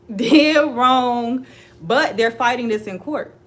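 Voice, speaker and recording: An animated tone comes through at a fairly slow pace, with noticeable background noise. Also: woman. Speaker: celebrity gossip commentator. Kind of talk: casual commentary vlog.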